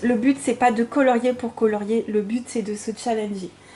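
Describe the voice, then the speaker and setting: A woman speaks in a fairly high pitch. Her intonation stays monotone and flat. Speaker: coloring channel host. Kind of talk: casual video talk. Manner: hesitant.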